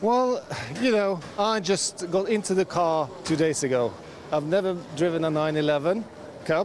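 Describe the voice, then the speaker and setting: Speaking at a moderate pace with very even loudness, a man with a high pitch and a Norwegian accent is heard over noticeable background noise. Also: ordinary pitch variation. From Norway. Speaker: amateur racing driver. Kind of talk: interview.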